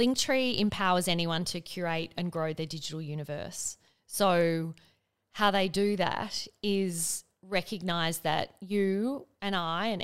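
On a very clean recording with a silent background, a woman with an Australian accent speaks at a fairly slow pace and a fairly low pitch, with ordinary pitch variation. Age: 40s. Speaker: business executive and investor. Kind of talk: casual chat. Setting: studio.

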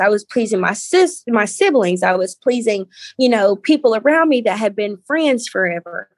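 Speaking at a moderate pace, a woman with a Southern US accent lets her pitch swing very widely. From Valdosta, Georgia, US South. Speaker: founder of body positivity movement. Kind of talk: casual interview chat.

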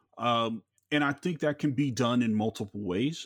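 A plain, everyday voice with an American accent, fairly slow pace and ordinary pitch variation, in a dry, close sound with no echo on a very clean recording with a silent background. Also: man. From Los Angeles, South Central. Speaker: podcast host. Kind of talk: casual chat.

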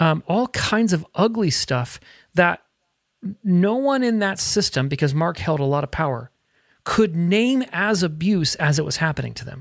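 On a very clean recording with a silent background, someone talks at a moderate pace. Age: 40s. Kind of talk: casual chat.

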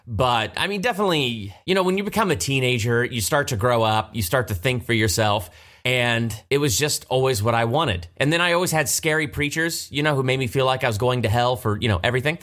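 With an American accent, a man at medium pitch talks at a very fast pace with lively intonation, very even loudness and hardly any pauses. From Ohio, Columbus area. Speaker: behind-the-scenes video host, actor. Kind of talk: casual chat. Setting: studio.

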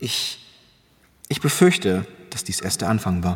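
A man puts on a character voice, pitched low with big swings up and down. He talks at a fairly slow pace with a slightly husky edge.

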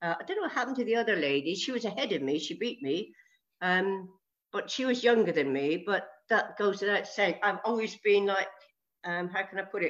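In a British accent, a woman speaks at a medium pitch and a fairly quick pace with lively intonation. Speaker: age-group triathlete. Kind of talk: interview.

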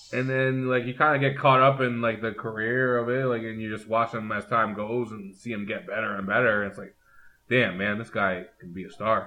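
A man with a medium pitch talks in a plain, everyday voice, with big swings in loudness. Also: moderate pace. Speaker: wrestling fan guest. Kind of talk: casual chat. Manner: excitable.

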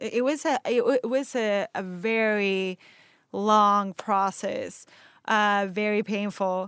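Delivered at a very slow pace with a Spanish accent, the voice sits in a very clean recording with a silent background and a dry, close sound with no echo. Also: woman. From Venezuela. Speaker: actor. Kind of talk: interview conversation.

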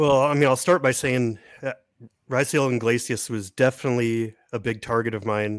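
A man speaks in an ordinary speaking voice. His pitch is medium and his intonation fairly even. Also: moderate pace. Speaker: prospect analyst and podcaster. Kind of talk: casual chat. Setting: video call.

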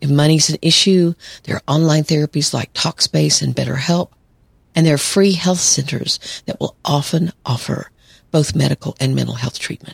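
In a calm tone, a somewhat breathy voice moves at a moderate pace with ordinary pitch variation, the sound dry and close with no echo. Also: woman, very deep, low pitch for a woman. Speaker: psychologist podcast host. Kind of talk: solo podcast monologue.

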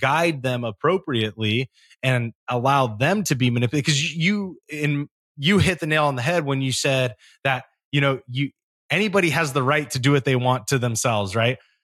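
A normal speaking voice from a man at medium pitch and moderate pace, with ordinary pitch variation and very even loudness, dry and close with no echo, on a very clean recording with a silent background. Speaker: podcast host, military veteran. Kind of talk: casual chat.

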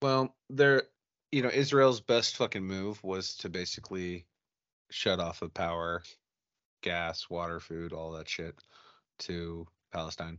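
The speaker moves at a fairly slow pace with lively intonation, broken by long, frequent pauses. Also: man, very deep, low pitch for a man. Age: 40s. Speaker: podcast host, military veteran. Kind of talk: casual chat. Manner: halting.

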